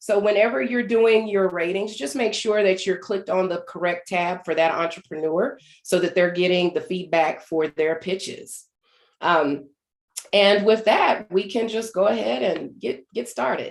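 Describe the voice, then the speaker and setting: A woman with a normal speaking voice talks at a medium pitch and a moderate pace, with ordinary pitch variation. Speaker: event host. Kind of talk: online event moderation.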